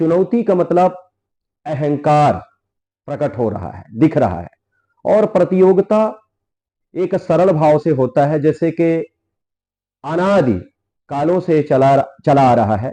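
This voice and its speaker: A man's fairly high voice with lively intonation and long, frequent pauses. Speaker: religious preacher. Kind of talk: public challenge speech. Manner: measured, restrained.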